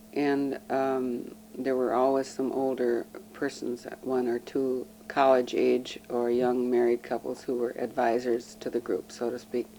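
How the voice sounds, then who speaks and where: Amid noticeable background noise, a woman with a very deep, low pitch speaks at a fairly slow pace in a monotone, flat intonation. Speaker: local resident interviewed for oral history. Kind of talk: oral history interview. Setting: at her home. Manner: hesitant, with many fillers.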